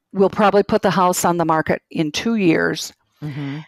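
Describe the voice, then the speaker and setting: A woman's fairly low voice comes through with a dry, close sound and no echo. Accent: Minnesotan. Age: 60s. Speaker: caller near retirement. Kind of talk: call-in conversation.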